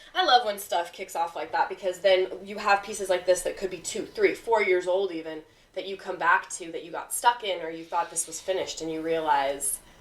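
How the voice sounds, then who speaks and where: Talking at a fairly quick pace, a woman uses an ordinary speaking voice. Her loudness swings widely. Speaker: podcast host. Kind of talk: interview conversation.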